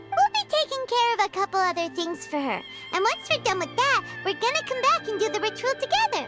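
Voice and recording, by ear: A cartoonish character voice, squeaky and extremely high-pitched, at a fairly quick pace over loud background music.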